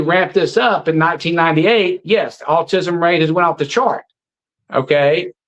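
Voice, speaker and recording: Talking at a fairly quick pace, a man with a Southern US accent has a high pitch and ordinary pitch variation. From US South, Alabama. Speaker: anti-vaccine activist. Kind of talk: interview. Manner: animated.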